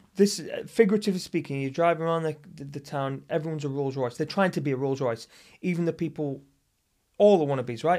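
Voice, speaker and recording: A very fast, animated voice in a northern English accent, with ordinary pitch variation. The recording is very clean, with a silent background. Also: man, fairly high pitch for a man. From northern England. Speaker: actor and martial artist. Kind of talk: casual chat.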